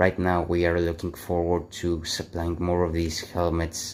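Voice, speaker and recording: With a non-native accent, a man speaks very slowly in a very deep, low pitch. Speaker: airsoft hobbyist. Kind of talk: gear showcase talk to camera.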